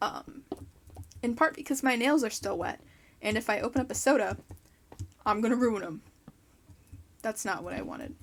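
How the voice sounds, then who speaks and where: A woman's fairly high-pitched voice with vocal fry, ordinary pitch variation, a moderate pace and long, frequent pauses. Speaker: gaming YouTuber. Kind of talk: casual let's play commentary. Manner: chatty, rambling with fillers. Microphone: mic moved very close.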